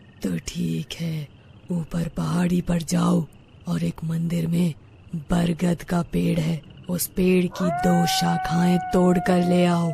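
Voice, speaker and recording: A cartoonish character voice speaks at a fairly slow pace in a middle pitch. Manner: commanding, threatening.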